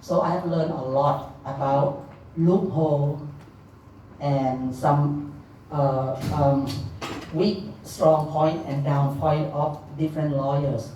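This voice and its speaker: A woman's very deep, low voice in a Thai accent, very slow and monotone with flat intonation, with audible room echo and noticeable background noise. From Thailand. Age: middle-aged. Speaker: legal interpreter and helpline founder. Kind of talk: speech. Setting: stage with audience. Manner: loud.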